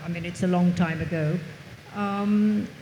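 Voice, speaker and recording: A woman speaks at a fairly slow pace with ordinary pitch variation, her voice carrying audible room echo over noticeable background noise. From England. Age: 80s+. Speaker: author. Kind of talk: panel interview. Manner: halting.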